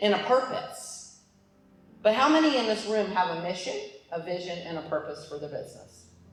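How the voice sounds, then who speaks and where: Over noticeable background noise and audible room echo, a woman speaks at medium pitch with lively intonation. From Alaska. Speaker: business coach, motivational speaker. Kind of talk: motivational talk. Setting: stage with audience. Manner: loud; animated.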